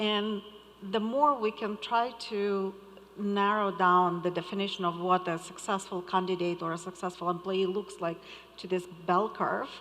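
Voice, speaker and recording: A woman with a non-native accent, medium pitch, fairly even intonation and a moderate pace. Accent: foreign. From Moldova. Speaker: conference panelist. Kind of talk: panel discussion.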